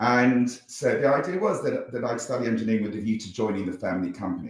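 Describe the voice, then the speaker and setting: In a southern British accent, a man speaks very fast at a medium pitch. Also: ordinary pitch variation. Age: 60s. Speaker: social entrepreneur, former company CEO. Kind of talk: interview conversation. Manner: halting, many fillers and repetitions.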